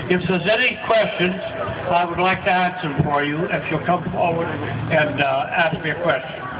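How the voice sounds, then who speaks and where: A man with a high pitch and an American accent speaks at a moderate pace with ordinary pitch variation. Noticeable background noise and audible room echo surround him. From Tarpon Springs, Florida, Greek community. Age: 80s+. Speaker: retired sponge diver. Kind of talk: talk to museum audience with Q&A. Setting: stage with audience.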